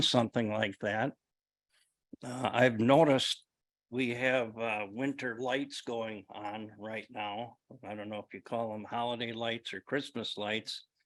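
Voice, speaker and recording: Over a quiet background, a man with an American accent talks at a very slow pace with fairly even intonation. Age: 70s. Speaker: public commenter at council meeting. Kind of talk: public comment. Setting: city council meeting.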